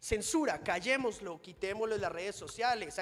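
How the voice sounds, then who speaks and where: A high-pitched man's voice, animated and fairly quick, with ordinary pitch variation and noticeable background noise. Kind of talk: conference talk. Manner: fast.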